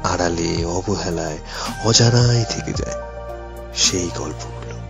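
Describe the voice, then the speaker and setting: The man's voice is very deep and low in pitch. Music plays behind him. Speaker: radio jockey. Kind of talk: emotional story narration.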